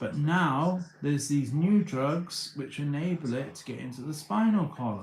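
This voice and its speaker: Noticeable background noise surrounds a man with a British accent and a fairly high pitch with ordinary variation. He talks at a moderate pace with hardly any pauses. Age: 30s. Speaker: livestreamer. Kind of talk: casual livestream monologue. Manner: halting, many repeated words.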